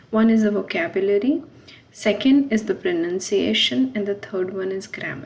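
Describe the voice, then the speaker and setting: A woman's medium-pitched voice at a moderate pace with ordinary pitch variation, amid noticeable background noise. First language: not French. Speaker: French language teacher. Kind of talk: tutorial. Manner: halting, with fillers.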